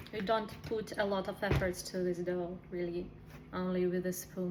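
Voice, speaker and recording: A woman speaks with a non-native accent. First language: not English. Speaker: cooking video host. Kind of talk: cooking tutorial. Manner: halting.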